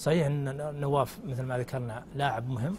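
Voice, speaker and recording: This somewhat breathy voice keeps a fairly even intonation. Light background noise can be heard. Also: man. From Saudi Arabia. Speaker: sports commentator. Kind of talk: TV studio discussion. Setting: studio. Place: studio. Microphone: lapel.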